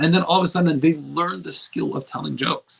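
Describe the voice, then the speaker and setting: Marked by vocal fry, the speech comes at a very fast pace. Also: man. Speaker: self-improvement coach. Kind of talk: motivational talk. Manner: mumbling; slurs word endings.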